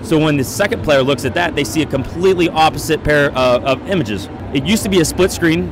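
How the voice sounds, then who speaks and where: Over noticeable background noise, a man talks at a very fast pace, the sound dry with no echo. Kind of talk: product demo explanation. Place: hall. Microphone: handheld.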